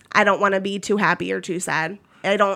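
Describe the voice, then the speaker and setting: A woman with an American accent talks at a moderate pace. She has an ordinary speaking voice at a medium pitch. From Maryland. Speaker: writer and vet office worker. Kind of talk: casual interview about personal experience.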